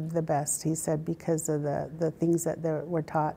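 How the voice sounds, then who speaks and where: A woman speaks in a southern Utah accent at a fairly low pitch. Her intonation stays monotone and flat. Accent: Western US, southern Utah. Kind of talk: oral history interview, personal storytelling. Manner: reflective, conversational, unhurried, halting with fillers and repeated words. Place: office. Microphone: lapel.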